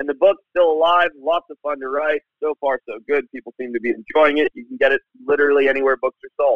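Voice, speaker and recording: A man's fairly high voice at a very fast pace, hardly any pauses, fairly even intonation and big swings in loudness. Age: 30s. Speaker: wildlife biologist. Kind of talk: interview. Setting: phone call.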